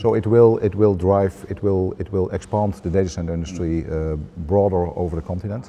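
A man with a very deep, low pitch talks at a fairly quick pace in a dark, mellow tone over light background noise. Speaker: interviewee. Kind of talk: interview answer. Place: hall. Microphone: lapel.

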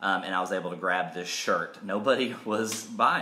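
A man with a fairly low pitch talks amid audible room echo. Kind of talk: casual school assembly address. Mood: upbeat, joking. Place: home room. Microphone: phone near.

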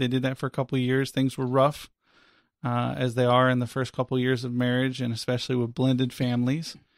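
The recording is very clean, with a silent background and a dry, close sound with no echo. A man speaks at a medium pitch and a fairly quick pace. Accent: American. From US South (Florida). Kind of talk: testimony.

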